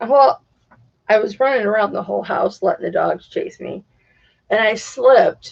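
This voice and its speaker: A loud woman's voice. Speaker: live streamer. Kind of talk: casual chat. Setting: livestream.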